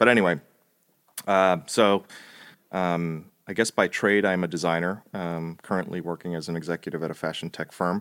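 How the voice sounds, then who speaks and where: A man with an American accent and a very deep, low pitch speaks with fairly even intonation, the sound dry and close with no echo on a very clean recording with a silent background. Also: moderate pace. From New Jersey. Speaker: product designer. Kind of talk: casual chat.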